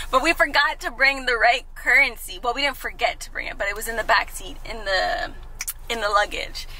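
A woman uses a raised, projected voice at a fairly quick pace over light background noise. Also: dry sound with no echo. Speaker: vlogger. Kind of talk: casual vlog chat. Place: car. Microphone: phone near.

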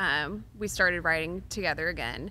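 Fairly low in pitch with vocal fry, a woman talks at a fairly slow pace in a bright, sharp tone with ordinary pitch variation. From Texas, Waco; Texas. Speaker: songwriter; guest. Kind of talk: interview. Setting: stage at a music venue. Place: studio. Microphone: studio mic.

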